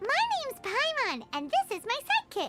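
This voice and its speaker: A put-on character voice, squeaky and extremely high in pitch, moves at a moderate pace with music in the background. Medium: video game. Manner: refers to herself by name.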